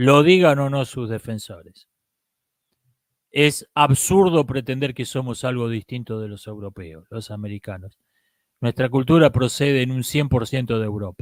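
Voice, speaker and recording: In a strong Argentine accent, a man speaks at a fairly slow pace and medium pitch, with ordinary pitch variation and big swings in loudness, on a very clean recording with a silent background. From Argentina. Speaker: philosophy commentator. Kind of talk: live-stream talk.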